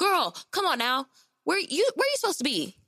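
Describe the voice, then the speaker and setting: A woman's put-on character voice, extremely high in pitch with very wide pitch swings, very even loudness and a fairly quick pace. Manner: scolding.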